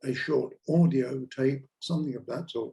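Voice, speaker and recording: A dark, mellow, somewhat breathy tone with fairly even intonation. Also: man. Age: 80s+. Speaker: community group organiser. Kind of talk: question at Q&A. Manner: halting.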